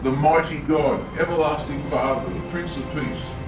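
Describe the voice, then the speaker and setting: Fairly even intonation carries the speech at a moderate pace, with music playing in the background. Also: man. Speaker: grandfather reading scripture to grandson. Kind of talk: scripture reading with casual commentary.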